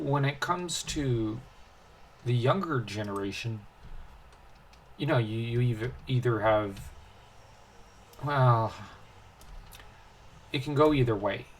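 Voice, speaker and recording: Speech moves at a very slow pace with long, frequent pauses and ordinary pitch variation. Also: man. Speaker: gaming video host. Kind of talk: casual gameplay commentary. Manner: halting, many fillers and restarts.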